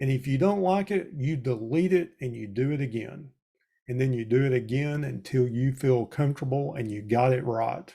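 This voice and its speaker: With a Southern US accent, a man speaks at a medium pitch in a dark, mellow, somewhat breathy tone with ordinary pitch variation. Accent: Southern US drawl. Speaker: extension educator. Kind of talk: webinar presentation. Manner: conversational.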